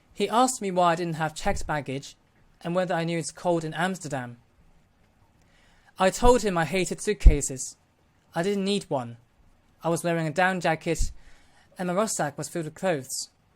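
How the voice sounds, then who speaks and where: A man with a London accent and a high pitch talks at a fairly quick pace with ordinary pitch variation and long, frequent pauses, in a very clean recording against a silent background. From Hong Kong. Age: 20s. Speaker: vlogger. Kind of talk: personal account.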